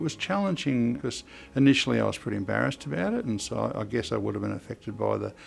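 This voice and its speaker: With music in the background, a man with an Australian accent speaks at a very fast pace. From Australia, Upper Hunter, New South Wales. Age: 70s. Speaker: mental health consumer representative. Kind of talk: personal testimony. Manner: halting, many fillers.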